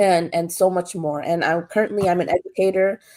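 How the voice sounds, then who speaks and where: Monotone and flat, a woman's fairly low voice moves at a fairly quick pace. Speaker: mental health counselor. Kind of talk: talk show interview. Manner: hesitant, many filler ums.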